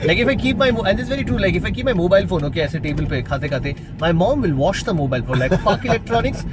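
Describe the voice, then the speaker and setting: A man with an Indian accent talks at a very fast pace and high pitch, his pitch swinging very widely, with noticeable background noise. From India, Bengal. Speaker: radio jockey; stand-up comedian. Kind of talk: casual podcast banter.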